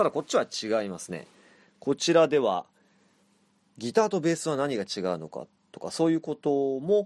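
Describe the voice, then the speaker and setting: A man with a fairly high pitch makes very wide pitch swings and long, frequent pauses, in a dry, close sound with no echo on a very clean recording with a silent background. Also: moderate pace, big swings in loudness. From Japan, Chiba. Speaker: podcast host and band vocalist. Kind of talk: solo monologue.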